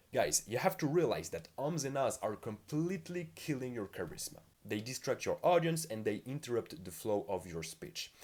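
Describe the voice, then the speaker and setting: Lively intonation marks this man's fairly high-pitched voice, which carries some vocal fry. He has a non-native accent and keeps a moderate pace. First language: not English. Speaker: communication skills youtuber. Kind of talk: tutorial.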